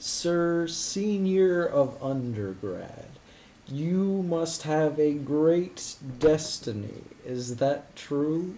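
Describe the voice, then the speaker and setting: This put-on character voice sits at a middle pitch. The pace is very slow. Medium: actual play. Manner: cheerful, easily delighted; formal, innocent, earnest.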